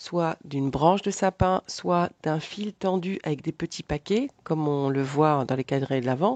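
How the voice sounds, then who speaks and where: A woman's fairly low, fairly slow voice with lively intonation, dry and close with no echo, against a quiet background. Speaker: life coach. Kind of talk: tutorial. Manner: hesitant, many filler sounds.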